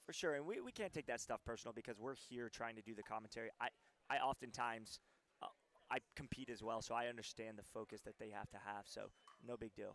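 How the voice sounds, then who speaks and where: Speech comes at a very fast pace with fairly even intonation, in a dry, close sound with no echo. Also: man, medium pitch for a man. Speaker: pickleball commentator. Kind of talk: live commentary. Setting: courtside at a tournament. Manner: loud, projecting.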